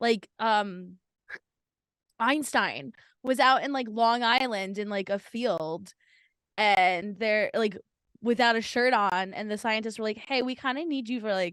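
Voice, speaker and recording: A woman's fairly high voice with a slight New Jersey accent, fairly slow and broken by long, frequent pauses, ordinary pitch variation, and a quiet background. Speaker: podcast co-host. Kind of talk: casual chat.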